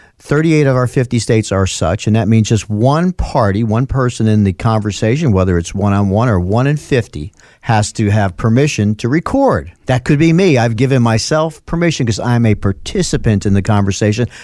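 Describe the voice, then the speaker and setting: With an American accent and a dark, mellow tone, a man speaks at a fairly quick pace with lively intonation, very even loudness and hardly any pauses. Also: medium pitch for a man. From US Northeast, North Bronx, New York. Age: 60s. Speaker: lawyer. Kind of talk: casual chat.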